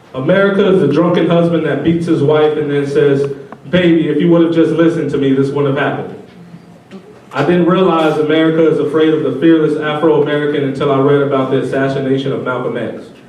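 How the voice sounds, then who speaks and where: A man at a very fast pace and fairly high pitch, with audible room echo and noticeable background noise. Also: fairly even intonation. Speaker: spoken word poet. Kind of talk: spoken word poetry.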